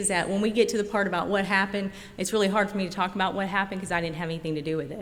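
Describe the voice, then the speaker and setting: A woman talks at a very fast pace with a slight Oklahoma accent. Her pitch sits in the medium range, and her intonation stays fairly even. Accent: slight country Oklahoma. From rural Oklahoma. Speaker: recovering alcoholic speaker. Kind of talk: recovery meeting talk. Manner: conversational, with many fillers.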